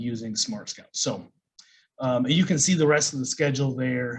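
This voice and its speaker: A man talks at a moderate pace with an American accent. His voice is somewhat breathy. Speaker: online business coach. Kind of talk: course lecture. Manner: casual, many fillers.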